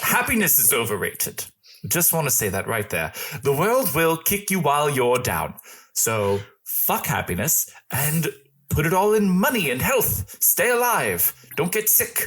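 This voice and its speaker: On a very clean recording with a silent background, a man does a raspy, put-on character voice at a fairly high pitch and a moderate pace. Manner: bitter, blunt.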